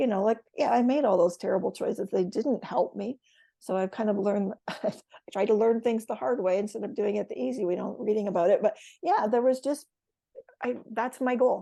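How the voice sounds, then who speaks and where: In a Canadian accent, the speaker talks at a fairly quick pace with lively intonation, a dark, mellow tone and vocal fry. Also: woman, fairly high pitch for a woman. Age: 60s. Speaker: retired educator. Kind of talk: casual chat. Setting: podcast.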